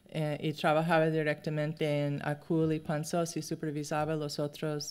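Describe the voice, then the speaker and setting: Speaking with a non-native accent, a woman uses a very deep, low pitch and monotone, flat intonation, captured on a very clean recording with a silent background. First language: English (speaking Spanish). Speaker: anthropologist. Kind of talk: lecture. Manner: halting.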